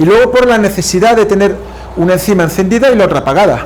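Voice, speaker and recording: Talking at a fairly quick pace, a man is heard with audible room echo and noticeable background noise. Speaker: university lecturer. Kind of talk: lecture. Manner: fast.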